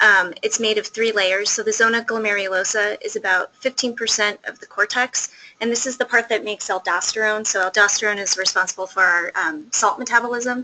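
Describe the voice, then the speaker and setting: A woman's fairly high voice at a fairly quick pace, with fairly even intonation and noticeable background noise. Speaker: pediatric endocrinologist. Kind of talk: lecture. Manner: fast; soft-spoken.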